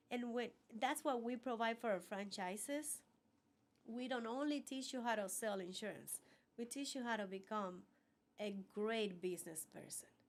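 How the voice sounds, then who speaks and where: A woman with a Cuban accent speaks at a fairly high pitch and moderate pace, with ordinary pitch variation. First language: Spanish. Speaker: business owner. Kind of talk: interview.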